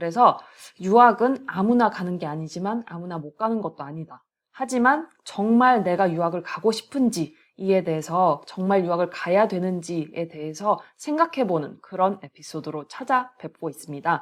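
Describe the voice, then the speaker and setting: A woman with a normal speaking voice uses lively intonation at a moderate pace, her loudness swinging widely. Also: medium pitch for a woman. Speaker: podcast host, professor. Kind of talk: casual podcast talk.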